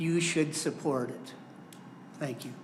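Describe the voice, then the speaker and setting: The speaker has an American accent and a moderate pace, with audible room echo. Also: man. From US Midwest (southwest Michigan). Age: 70s. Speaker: member of the public. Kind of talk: public comment at a county board meeting. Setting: county board meeting room.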